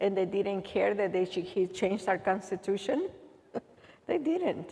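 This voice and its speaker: A woman speaks with a Salvadoran accent in a medium-pitched, dark, mellow voice. Her pace is fairly slow, with ordinary pitch variation. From El Salvador. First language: Spanish. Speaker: immigrant aid worker. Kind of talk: Q&A talk.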